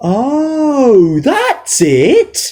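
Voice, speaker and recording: This is a cartoonish character voice pitched high. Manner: vague, easily confused.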